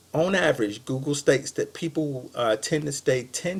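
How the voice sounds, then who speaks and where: A man with a fairly high, somewhat breathy voice speaks at a moderate pace on a very clean recording with a silent background. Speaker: web marketing consultant. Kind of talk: recorded sales pitch to a business. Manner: casual with many fillers.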